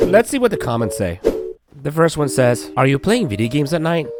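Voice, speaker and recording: A man talking at a very fast pace with lively intonation, music playing in the background. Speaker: reddit story reader and commentator. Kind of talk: reading aloud. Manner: gets loud when excited.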